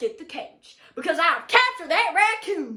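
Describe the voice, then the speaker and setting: In a put-on character voice, a woman speaks at an extremely high pitch and a moderate pace. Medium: read story. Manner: gruff.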